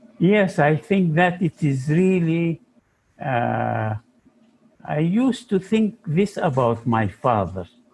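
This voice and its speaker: A man speaks at a very slow pace in a somewhat breathy voice. His pitch swings very widely. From Sudan. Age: 80s+. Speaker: psychology professor. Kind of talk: interview.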